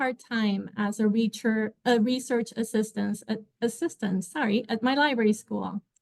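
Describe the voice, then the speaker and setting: Fairly high-pitched, a woman talks with a Spanish accent. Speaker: librarian. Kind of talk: panel talk.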